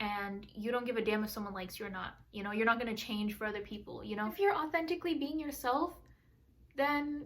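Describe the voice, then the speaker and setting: The speech races along at a very fast pace with lively intonation. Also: woman, fairly high pitch for a woman. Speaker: lifestyle vlogger. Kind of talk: casual vlog talk. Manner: loud, outgoing.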